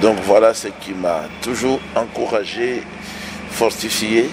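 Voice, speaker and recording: With noticeable background noise behind him, a man speaks very slowly in a fairly low pitch. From DR Congo. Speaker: pastor. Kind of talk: interview. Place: home room. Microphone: handheld.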